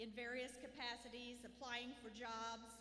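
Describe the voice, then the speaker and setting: In a Southern US accent, a woman speaks with a bright, sharp tone at a high pitch. Her delivery is monotone and flat, and audible room echo surrounds it. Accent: southern drawl. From Southwest Missouri. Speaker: school administrator. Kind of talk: graduation ceremony speech.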